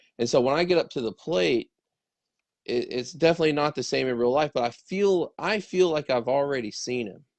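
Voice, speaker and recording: A man with an unremarkable speaking voice talks at a fairly quick pace, fairly high in pitch, with lively intonation. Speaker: baseball training show host. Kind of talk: casual conversation.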